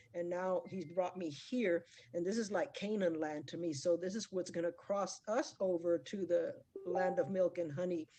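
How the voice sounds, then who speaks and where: Music plays in the background while a woman speaks at a moderate pace. Her voice is fairly low, with ordinary pitch variation. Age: 60s. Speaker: forex trader giving testimonial. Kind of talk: testimony.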